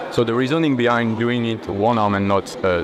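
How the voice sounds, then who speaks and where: A man speaks with a French accent. Noticeable background noise sits behind him. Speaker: natural bodybuilder and YouTuber. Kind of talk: gym training explanation. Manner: halting.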